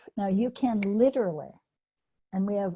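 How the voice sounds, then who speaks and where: The woman's voice is dark and mellow, and somewhat breathy. Her intonation stays fairly even. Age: 80s+. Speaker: animal training teacher. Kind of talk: online workshop teaching.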